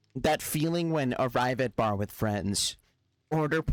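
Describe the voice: This is plain reading aloud with lively intonation over a quiet background.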